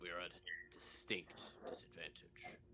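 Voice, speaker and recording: Whispering in a put-on character voice, a man speaks at a moderate pace over clear background noise. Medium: actual play. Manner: solemn, measured.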